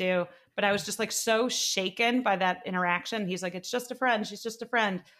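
Moderate pace, medium pitch and fairly even intonation from a woman in an ordinary speaking voice. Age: 20s. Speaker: author and TV writer. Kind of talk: casual chat. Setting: video call.

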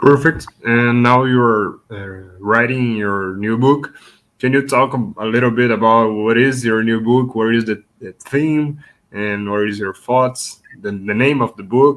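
In a Brazilian accent, a man with a medium-pitched voice speaks at a fairly slow pace, his intonation fairly even but his loudness swinging widely. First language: Portuguese. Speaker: podcast host. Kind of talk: interview.

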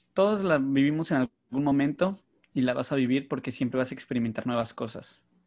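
A normal speaking voice at a fairly quick pace against a quiet background. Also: man. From northern Mexico, Mexicali. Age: 30s. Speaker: podcast host. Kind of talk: casual chat.

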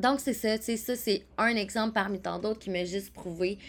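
A very slow voice with vocal fry speaks in a Quebec accent. The intonation stays fairly even. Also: woman. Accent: Québécois French. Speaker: podcast host, wellness coach. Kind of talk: casual solo podcast monologue.

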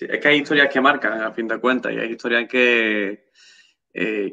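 Pitched in the medium range, a man talks with a bright, sharp tone. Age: 20s. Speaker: YouTube channel host. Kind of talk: live-stream interview.

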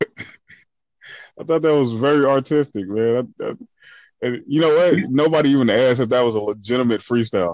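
Using an ordinary speaking voice, this man keeps a medium pitch, a moderate pace and ordinary pitch variation. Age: 30s. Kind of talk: casual chat.

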